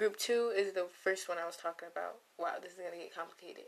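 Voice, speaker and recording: Quietly and at a very fast pace, a woman talks in a medium pitch with fairly even intonation. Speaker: podcast host, college student. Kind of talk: casual solo monologue. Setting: dorm room. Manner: quiet, low energy.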